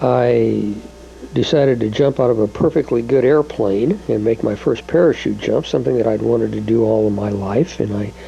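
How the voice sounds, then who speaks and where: Moderately paced male speech, noticeable background noise throughout. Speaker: home video maker. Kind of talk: personal home video monologue. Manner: halting, many filler words.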